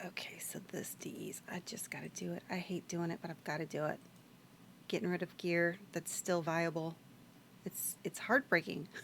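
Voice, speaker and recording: The speaker is whispering. The pace is moderate. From Louisiana. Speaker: video game streamer. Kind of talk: casual gameplay stream chat. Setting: live stream. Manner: casual, thinking aloud.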